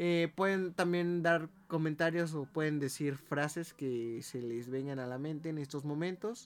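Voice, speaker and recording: Speaking with a Mexican accent, a man with a fairly high pitch and ordinary pitch variation keeps a fairly slow pace with hardly any pauses. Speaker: podcast co-host. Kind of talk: casual chat.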